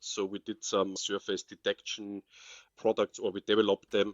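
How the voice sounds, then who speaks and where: Moderate-paced speech from a man with a fairly low voice and an Austrian accent. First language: German. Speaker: crypto forensics specialist. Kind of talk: interview.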